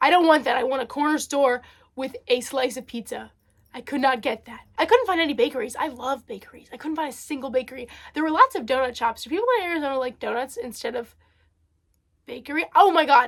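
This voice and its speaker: A woman with a New Jersey accent, very fast pace, ordinary pitch variation. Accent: New Jersey American. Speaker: vlogger. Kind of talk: casual vlog monologue. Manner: many fillers and hesitations.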